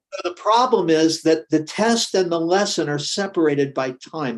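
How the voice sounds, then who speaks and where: A man is speaking. His pace is moderate. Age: 70s. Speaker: naturopathic doctor. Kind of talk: interview conversation.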